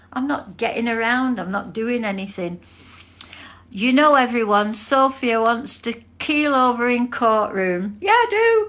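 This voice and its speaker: Speaking at a fairly slow pace with an English accent, a woman uses a high pitch that makes very wide swings. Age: 70s. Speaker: livestream host, court volunteer. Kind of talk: casual livestream chat. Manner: animated.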